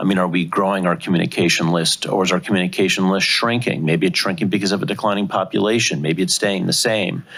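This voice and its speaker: Over noticeable background noise, a man talks at a very fast pace with hardly any pauses, very even loudness and ordinary pitch variation. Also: fairly low pitch for a man. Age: 60s. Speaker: city council member. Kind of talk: public budget hearing questioning.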